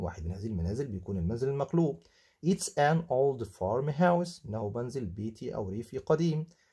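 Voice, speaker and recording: In a very clean recording with a silent background, a man with an Egyptian accent speaks at a moderate pace and medium pitch. His tone is dark and mellow, somewhat breathy, with very wide pitch swings. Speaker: English teacher. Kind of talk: tutorial, textbook walkthrough.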